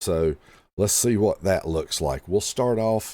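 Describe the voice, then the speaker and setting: A man speaks with lively intonation in a dark, mellow tone. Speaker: gaming YouTuber. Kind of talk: live read-through reaction. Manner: casual with frequent fillers.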